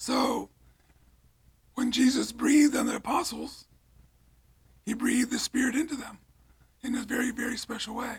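A man with an American accent speaks at an extremely high pitch and a moderate pace. His intonation is monotone and flat, broken by long, frequent pauses. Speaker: retired priest. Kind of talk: casual interview chat.

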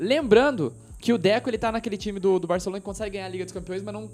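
A man's voice, high in pitch. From Brazil. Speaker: football podcast host. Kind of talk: casual chat. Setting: home recording near woods.

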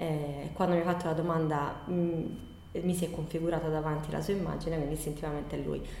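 Over noticeable background noise, a woman with a very deep, low pitch talks at a fairly quick pace in a monotone, flat intonation, hardly pausing at all. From Bari, Apulia, southern Italy. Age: 40s. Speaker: nursery school owner and educator. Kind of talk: interview answers. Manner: halting, many repetitions.

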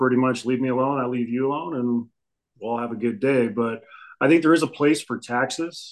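A normal speaking voice with an American accent and fairly even intonation. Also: man. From Phoenix, Arizona. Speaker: police officer. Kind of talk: casual interview.

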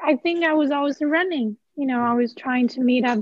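Speaking with a Chinese accent, a woman uses a high pitch and fairly even intonation. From Henan, China. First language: Mandarin Chinese. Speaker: PhD student. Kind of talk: casual interview conversation.

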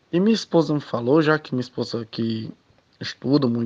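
A man speaks in an ordinary speaking voice at a moderate pace, his medium pitch moving with ordinary variation, and the sound is dry and close with no echo. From Ceará, Brazil. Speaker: listener. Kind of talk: testimony.

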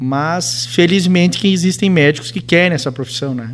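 A man at a fairly quick pace with ordinary pitch variation, music playing in the background. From Rio Grande do Sul, Brazil (Entre-Ijuís). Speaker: physician and hospital president. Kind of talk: casual radio interview.

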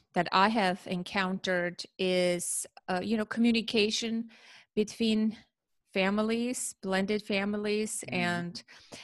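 A woman with an Armenian accent speaks at a medium pitch. Her pace is fairly slow and her intonation fairly even. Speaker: parent educator. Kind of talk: interview.

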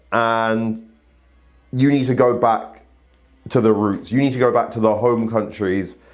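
In a room with audible echo, a man with a medium pitch talks at a fairly slow pace in an animated tone. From Barbados. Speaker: podcast host. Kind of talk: casual commentary monologue.

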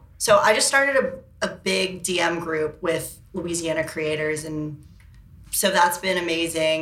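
A woman's fairly low voice, a normal speaking voice, at a fairly slow pace with ordinary pitch variation. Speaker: model and blogger. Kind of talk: casual chat.

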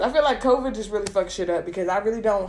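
Fairly high in pitch, a woman talks with lively intonation in an ordinary speaking voice. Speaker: podcast host. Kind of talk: casual chat.

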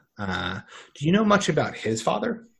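A man speaks with an unremarkable speaking voice and lively intonation. His pace is moderate, and the background is quiet. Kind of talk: casual chat.

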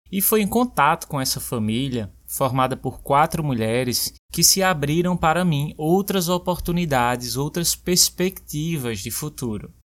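An unremarkable speaking voice from a man, fairly high in pitch, with lively intonation at a fairly slow pace and hardly any pauses, on a very clean recording with a silent background. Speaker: podcast host and language teacher. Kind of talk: scripted personal narration. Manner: clear and measured for learners.

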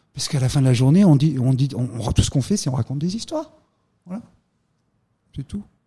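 A man talks very fast with lively intonation and long, frequent pauses. His fairly high voice has a dark, mellow tone and is somewhat breathy. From France, Drôme (Valence). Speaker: art gallery owner and former financier. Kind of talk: interview.

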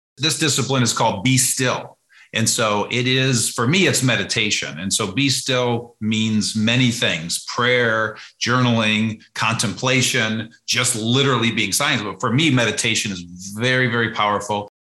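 Speaking at a moderate pace with hardly any pauses, a man has a medium pitch and a bright, sharp tone. His pitch variation is ordinary, and audible room echo surrounds his voice. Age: 50s. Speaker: entrepreneur and business author. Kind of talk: podcast interview.

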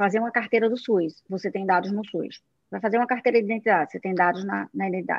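A woman speaks at a medium pitch with a northeastern Brazilian accent. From Brazilian Northeast. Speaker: tech company CEO. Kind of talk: live talk show interview.

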